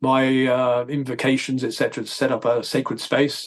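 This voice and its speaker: With a southern English accent, a man speaks at a medium pitch in a monotone, flat intonation. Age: 60s. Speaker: holistic dentist. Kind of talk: casual interview. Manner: halting.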